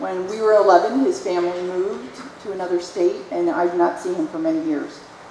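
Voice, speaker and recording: Background noise is clearly noticeable, along with audible echo from the room. The speaker is a woman. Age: 60s. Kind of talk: testimony.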